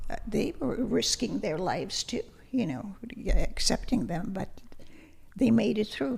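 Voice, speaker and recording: Fairly slow speech with vocal fry, very wide pitch swings and long, frequent pauses. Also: woman, fairly high pitch for a woman. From Lithuania. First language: Lithuanian. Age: 80s+. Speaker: retired language teacher. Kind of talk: interview.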